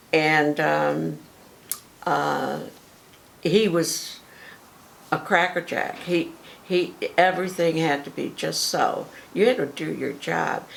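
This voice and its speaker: Against noticeable background noise, a woman with an American accent talks very slowly, leaving long, frequent pauses. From Adams, Massachusetts. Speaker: former theater candy counter worker. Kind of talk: interview answer.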